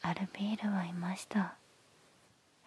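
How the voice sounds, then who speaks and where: A woman speaks in a monotone, flat intonation, with a dry sound that has no echo. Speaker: storyteller. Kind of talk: soft story reading, ASMR. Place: home room. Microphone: handheld.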